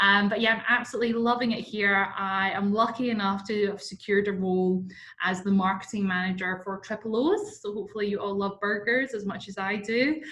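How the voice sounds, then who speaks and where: In a Scottish accent, a woman speaks at a fairly quick pace. Her pitch is medium and her intonation fairly even. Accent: Scottish, sometimes heard as Irish. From Scotland. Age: 20s. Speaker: marketing manager, workshop presenter. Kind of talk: webinar presentation. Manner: casual, many fillers.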